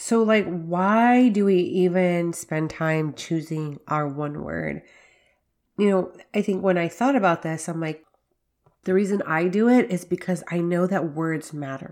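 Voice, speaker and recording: Fairly low in pitch, a woman speaks with a plain, everyday voice. She goes at a fairly slow pace with ordinary pitch variation. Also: very clean recording, silent background. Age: 40s. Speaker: faith-based podcast host for working mothers. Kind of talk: solo podcast monologue with devotional teaching.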